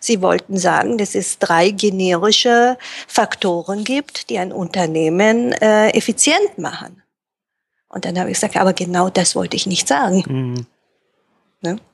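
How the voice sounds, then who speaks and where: A plain, everyday voice comes through. It moves at a fairly slow pace with lively intonation. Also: woman, medium pitch for a woman. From Japan and Germany, raised bilingual. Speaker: Japanese-German interpreter and translator. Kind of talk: interview.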